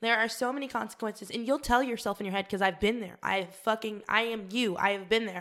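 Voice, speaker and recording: With an American accent, a woman talks at a very fast pace with hardly any pauses. Her fairly high voice keeps a fairly even intonation. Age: 20s. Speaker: podcast co-host. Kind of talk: casual chat.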